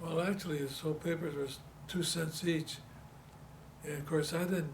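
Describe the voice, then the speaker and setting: Fairly high-pitched man in a Detroit accent, moderate pace, monotone and flat intonation, noticeable background noise throughout. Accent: Detroit American English. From Detroit, Michigan, USA. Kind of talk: oral history interview answer. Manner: hesitant, repeats words.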